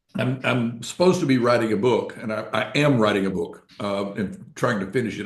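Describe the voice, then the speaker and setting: Moderately paced speech from a man at medium pitch, with audible room echo. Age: 70s. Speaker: financial author and newsletter publisher. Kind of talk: podcast interview. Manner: halting, many fillers.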